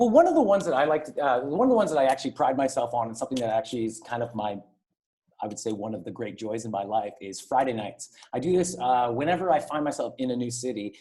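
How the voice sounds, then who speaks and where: Very fast and with lively intonation, a man rattles through his words. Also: medium pitch for a man. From Ottawa, Canada. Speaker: event host. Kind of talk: interview.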